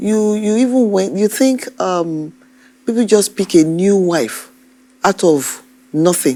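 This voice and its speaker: Speaking very slowly, a woman uses a medium pitch and a dark, mellow tone. Her intonation is lively. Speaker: TV court judge. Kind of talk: courtroom questioning. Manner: firm, stern.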